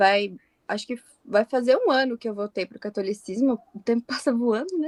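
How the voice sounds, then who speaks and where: Dry and close with no echo, the speech proceeds at a moderate pace. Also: woman. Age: 20s. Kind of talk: podcast interview.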